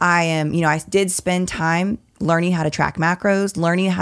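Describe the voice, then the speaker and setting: Very clean recording, silent background: a woman talks in a plain, everyday voice at a moderate pace. Her pitch is fairly low, with fairly even intonation. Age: 30s. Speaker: fitness and nutrition coach. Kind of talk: casual chat.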